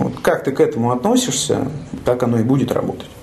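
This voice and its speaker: A man at a fairly quick pace, with noticeable background noise and audible room echo. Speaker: hospice head physician. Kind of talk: casual chat. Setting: hospice hall.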